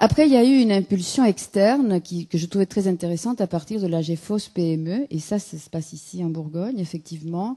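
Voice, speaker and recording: Over a quiet background, a woman with a dark, mellow tone speaks at medium pitch and a fairly quick pace, with lively intonation and hardly any pauses. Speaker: consultant and lecturer at a conference. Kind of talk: conference talk. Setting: conference room with audience.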